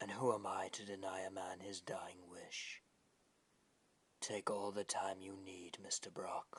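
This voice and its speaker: Whispering at a fairly slow pace, a man puts on a cartoonish character voice. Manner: formal, courteous.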